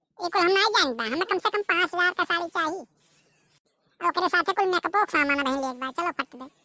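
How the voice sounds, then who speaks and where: In a put-on character voice of extremely high pitch, a woman talks at a very fast pace with lively intonation, in a dry, close sound with no echo. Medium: comedy sketch. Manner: bossy, insistent.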